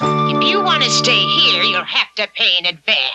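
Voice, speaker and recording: Using a cartoonish character voice, a woman speaks at a fairly slow pace. Loud music plays in the background. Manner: grasping, sly.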